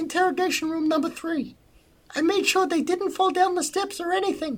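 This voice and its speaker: Squeaky and extremely high in pitch, a put-on character voice goes at a fairly quick pace. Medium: actual play. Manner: eager, deferential.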